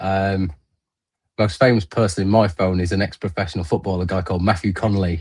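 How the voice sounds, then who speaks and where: A man speaks at a fairly quick pace with a fairly low, somewhat breathy voice and fairly even intonation. The background is quiet. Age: 40s. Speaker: darts business guest. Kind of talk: casual chat.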